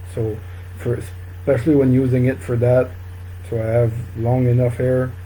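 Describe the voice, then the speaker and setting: A somewhat breathy man with a French Canadian accent speaks at a moderate pace in a medium pitch, his dark, mellow tone and fairly even intonation carrying audible room echo. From northern New Brunswick, Canada. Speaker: fly tying instructor. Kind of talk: live-stream tutorial. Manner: halting, many fillers.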